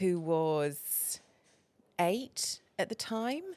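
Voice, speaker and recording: A woman with a fairly low pitch speaks in very wide pitch swings. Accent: English. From England. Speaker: feng shui consultant. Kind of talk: podcast interview.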